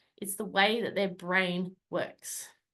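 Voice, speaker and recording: A woman with an Australian accent at a very slow pace. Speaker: club speaker. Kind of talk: prepared speech. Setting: video call.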